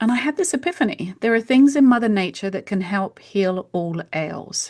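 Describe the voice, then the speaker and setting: A British accent from a woman, fairly high in pitch, with very wide pitch swings at a moderate pace. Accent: British accent, retained. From UK. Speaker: homeopath. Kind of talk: podcast interview.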